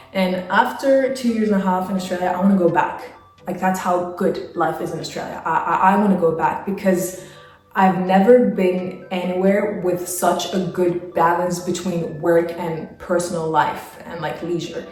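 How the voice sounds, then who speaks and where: A woman talks at a moderate pace in a medium pitch with fairly even intonation. Noticeable background noise and audible room echo are present. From Spain, Madrid. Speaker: travel vlogger. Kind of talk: casual Q&A monologue. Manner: chatty with fillers.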